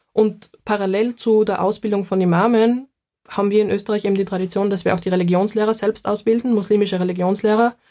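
Speaking very fast in a Styrian accent, a woman has a dark, mellow tone and a monotone, flat intonation. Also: medium pitch for a woman. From Styria, Austria. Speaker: minority rights researcher. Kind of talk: casual chat.

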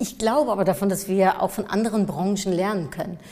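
A woman talks at a fairly quick pace with fairly even intonation and a medium pitch. Noticeable background noise runs under her voice. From Germany, near Cologne, Dutch family. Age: 40s. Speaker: marketing expert and speaker. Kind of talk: interview. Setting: studio.

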